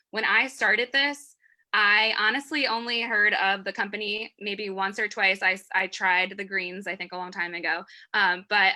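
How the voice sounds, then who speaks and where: The tone is bright and sharp, the intonation fairly even, and the pace moderate, on a very clean recording with a silent background. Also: woman. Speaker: network marketer. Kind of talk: interview.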